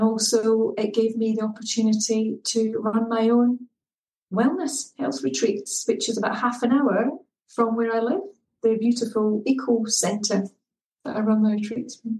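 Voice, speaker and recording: A woman with a Scottish accent, fairly high in pitch and somewhat breathy, at a moderate pace with ordinary pitch variation. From Scotland, Edinburgh. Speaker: well-being coach. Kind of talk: podcast interview.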